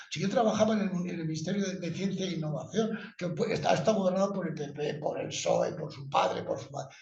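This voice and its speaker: A man's high voice at a very fast pace with lively intonation and audible room echo. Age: 70s. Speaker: book author presenting research. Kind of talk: book presentation discussion. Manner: animated.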